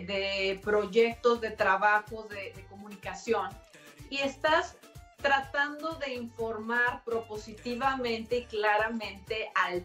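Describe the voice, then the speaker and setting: A woman with a fairly high pitch and ordinary pitch variation speaks at a very slow pace, her loudness swinging widely. Audible room echo and faint background music surround her. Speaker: TV show host. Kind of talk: TV interview hosting. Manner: warm, effusive. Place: home room. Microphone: webcam.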